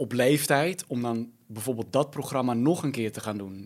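Using a normal speaking voice, a man talks at a fairly quick pace with medium pitch and fairly even intonation. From Netherlands, Almere. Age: 30s. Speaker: media personality. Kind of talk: casual chat. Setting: studio.

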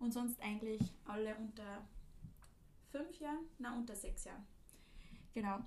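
The voice is somewhat breathy and moves at a moderate pace. Long, frequent pauses break it up. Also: woman, fairly high pitch for a woman, ordinary pitch variation. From Austria, Linz. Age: 20s. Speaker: podcast host, former au pair, student. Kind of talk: casual chat.

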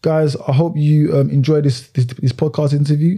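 A man talks with a fairly high pitch and a dark, mellow tone. His voice is somewhat breathy, and his intonation stays fairly even. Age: 20s. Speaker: podcast host. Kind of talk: casual interview.

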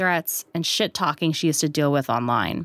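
A woman speaks at a fairly quick pace in an ordinary speaking voice, fairly low in pitch, on a very clean recording with a silent background and a dry, close sound with no echo. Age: 20s. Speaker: culture writer and podcast host. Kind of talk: scripted narration.

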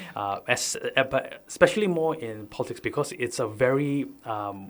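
Speaking at a moderate pace, a man talks with a Sabahan accent. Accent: Malaysian (Sabahan) English. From Sabah, Malaysia (Keningau, interior). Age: 30s. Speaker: farmer and youth activist. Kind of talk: radio talk show interview. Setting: radio studio. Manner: hesitant, many filler uhs and restarts.

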